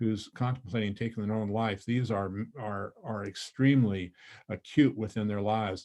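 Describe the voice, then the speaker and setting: With a dark, mellow tone, a man speaks in an American accent at a medium pitch. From northern Montana, US. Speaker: volunteer trainer. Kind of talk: training presentation. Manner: fast; excited, many fillers.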